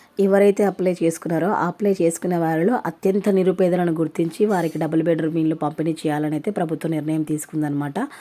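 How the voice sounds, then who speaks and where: A woman's fairly low, dark, mellow voice with fairly even intonation. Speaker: YouTube news vlogger. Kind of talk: news explainer.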